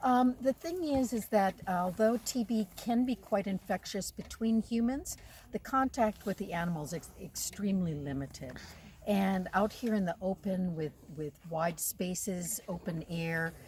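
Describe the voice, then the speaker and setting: Somewhat breathy and medium-pitched, a woman with an American accent speaks at a fairly slow pace with lively intonation. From United States. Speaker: wildlife veterinarian and researcher. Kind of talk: interview. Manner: hesitant, many fillers.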